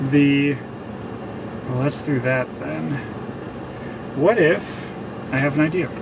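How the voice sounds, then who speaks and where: Speaking very slowly with long, frequent pauses, a man with an American accent uses a fairly high voice, amid noticeable background noise and audible room echo. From Minnesota. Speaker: storm chaser streamer. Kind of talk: live stream commentary. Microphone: adjusting mic, audio issues.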